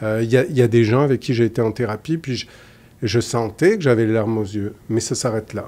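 Using a southern French accent, a man speaks at a fairly quick pace with ordinary pitch variation and a dark, mellow tone. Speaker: psychologist; guest. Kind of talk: interview conversation. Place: studio. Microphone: studio mic.

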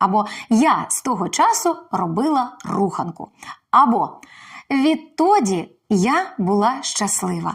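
Very slowly, a woman talks at a high pitch with very wide pitch swings. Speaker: actress. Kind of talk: Ukrainian language lesson to camera.

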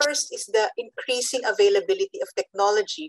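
A woman talks at a fairly quick pace, her voice dry with no echo against a quiet background. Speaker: panelist. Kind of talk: panel summary remarks. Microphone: video call.

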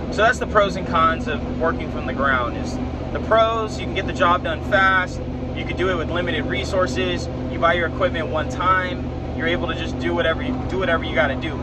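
The speech moves at a fairly quick pace with a dry sound and no echo. Loud background noise runs underneath. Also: man. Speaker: coach. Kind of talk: casual vlog chat. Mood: frank, mildly frustrated. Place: car. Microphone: earbuds.

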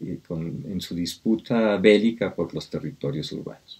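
This man's voice is fairly low in pitch, with a dark, mellow tone. He speaks at a fairly slow pace against a quiet background. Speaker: speaker. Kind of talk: lecture. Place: home room. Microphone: webcam.

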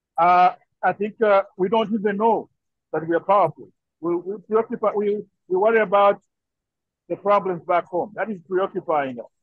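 Moderate pace from a man, dry sound without echo, quiet background. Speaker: participant. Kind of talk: video call discussion. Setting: video call from workplace. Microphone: video call.

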